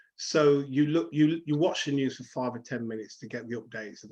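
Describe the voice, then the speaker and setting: This man has a Leicester accent. He talks at a fairly quick pace with ordinary pitch variation. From England, Leicester. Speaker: counsellor. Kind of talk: interview.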